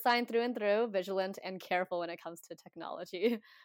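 In a plain, everyday voice, a woman with an American accent speaks at a fairly quick pace with ordinary pitch variation. The sound is dry and close with no echo. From Washington State, US. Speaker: community organizer, podcast guest. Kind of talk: casual interview. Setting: video call.

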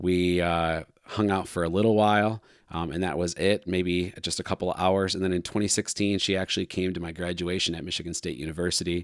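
Very deep and low, a man's voice moves at a fairly quick pace with monotone, flat intonation. The recording is very clean over a silent background. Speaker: podcast host. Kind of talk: casual chat.

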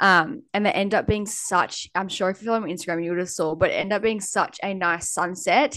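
This voice has an Australian accent and moves at a fairly quick pace. There are hardly any pauses. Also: woman, medium pitch for a woman, ordinary pitch variation, quiet background. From Australia, New South Wales north coast. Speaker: podcast co-host. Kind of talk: casual chat.

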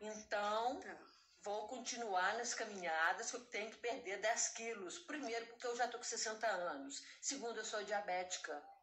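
Speaking at a fairly slow pace, a woman with a fairly high pitch is heard over noticeable background noise and audible room echo. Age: 60s. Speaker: retired saleswoman, artisan. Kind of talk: casual chat.

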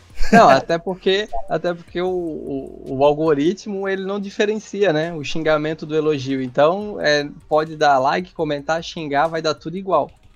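Speaking at a moderate pace, a man with a northeastern Brazilian accent has a fairly high pitch and ordinary pitch variation. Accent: Northeast Brazilian. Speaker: motorcycle youtuber and test rider. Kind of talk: casual chat.

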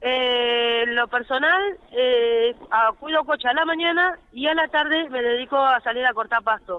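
The speech moves at a fairly slow pace with ordinary pitch variation and very even loudness. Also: woman, high pitch for a woman. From Argentina. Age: 40s. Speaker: car-minder and street worker. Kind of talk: phone interview testimony. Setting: phone call.

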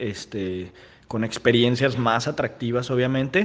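At a fairly slow pace, a man speaks in a plain, everyday voice with a medium pitch and ordinary pitch variation. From Mexico, Guadalajara. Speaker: restaurant owner and entrepreneur. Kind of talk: casual interview.

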